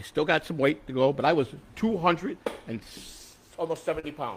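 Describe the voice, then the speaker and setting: In an American accent, a man with an ordinary speaking voice talks at a fairly quick pace and fairly high pitch, with ordinary pitch variation and big swings in loudness. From Chicago. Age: 60s. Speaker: political candidate. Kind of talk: casual chat.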